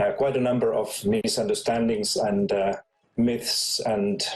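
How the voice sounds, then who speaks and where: With a Finnish accent, a man speaks at a fairly slow pace. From Finland. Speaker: education expert. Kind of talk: conference talk. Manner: halting, many fillers.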